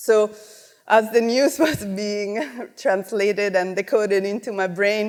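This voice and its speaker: A woman of medium pitch with an Italian accent, at a fairly slow pace. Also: ordinary pitch variation. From Italy. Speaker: multimedia director and artist. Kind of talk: conference talk. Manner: casual, many fillers.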